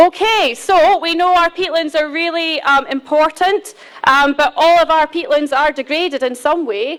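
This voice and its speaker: Speaking at a moderate pace, a woman with a Scottish accent has an extremely high pitch and ordinary pitch variation. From Scotland. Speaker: peatland restoration specialist. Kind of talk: conference presentation. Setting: conference hall podium.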